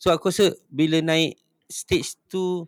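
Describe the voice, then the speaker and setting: This man's voice sits fairly high and shows ordinary pitch variation. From Malaysia, Johor (Pasir Gudang). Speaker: punk band vocalist. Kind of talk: casual chat.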